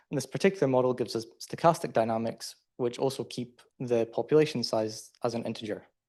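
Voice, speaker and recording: Against a quiet background, a man with a Scottish accent speaks at a fairly quick pace in a dark, mellow tone, his medium pitch showing ordinary variation. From Scotland. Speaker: PhD student presenter. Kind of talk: conference talk.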